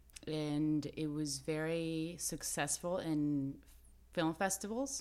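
A woman with a Spanish accent speaks with a very deep, low pitch on a very clean recording with a silent background. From Mexico. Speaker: actress. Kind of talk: casual chat.

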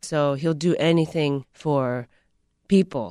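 A woman speaks at a fairly slow pace in a Japanese accent, with fairly even intonation. The recording is very clean, with a silent background. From Japan, moved to the US at about ten. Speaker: stand-up comedian. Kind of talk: casual interview.

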